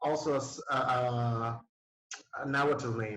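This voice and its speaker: Intonation fairly even, a man speaks at a very slow pace. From Nicaragua. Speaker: DJ. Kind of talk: casual interview. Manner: halting, many fillers.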